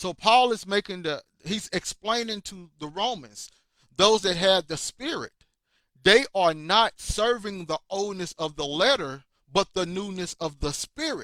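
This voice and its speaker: With a raised, projected voice, a man with a high pitch and a bright, sharp tone speaks at a fairly slow pace with lively intonation, in a dry, close sound with no echo. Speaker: bible teacher. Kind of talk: bible lesson livestream. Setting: livestream on multiple platforms.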